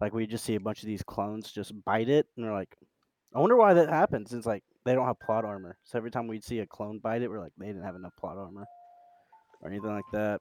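A man talks very fast in a fairly low voice, his loudness swinging widely, with a dry, close sound and no echo. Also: ordinary pitch variation. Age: 20s. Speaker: podcast co-host. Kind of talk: casual chat.

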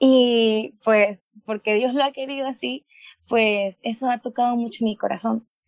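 Heard with a dry, close sound with no echo, a woman speaks in an ordinary speaking voice, fairly high in pitch, at a fairly slow pace with fairly even intonation. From Panama. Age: 20s. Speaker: medical student. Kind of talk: testimony.

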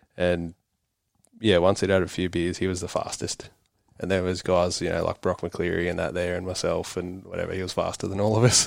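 Speaking fairly quickly in an Australian accent, a man delivers a very deep, low pitch with monotone, flat intonation. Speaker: motocross racer, concreter. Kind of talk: casual interview.

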